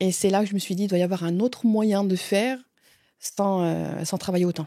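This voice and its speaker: A woman's medium-pitched voice with a dark, mellow tone and a Franche-Comté accent, at a moderate pace with fairly even intonation, in a very clean recording with a silent background. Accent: Franche-Comté accent, still noticeable. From Franche-Comté, eastern France. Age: 40s. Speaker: closer, former pastry chef. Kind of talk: interview, personal story. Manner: hesitant, many fillers.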